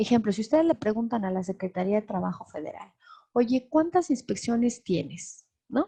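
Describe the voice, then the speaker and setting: A woman's dark, mellow, somewhat breathy voice, fairly high in pitch, with very wide pitch swings and a moderate pace. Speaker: lecturer on transparency law. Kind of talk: webinar lecture. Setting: online webinar.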